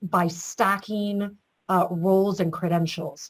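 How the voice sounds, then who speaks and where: This woman has a normal speaking voice. She talks at a moderate pace and a medium pitch. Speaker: state government official. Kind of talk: webinar panel discussion.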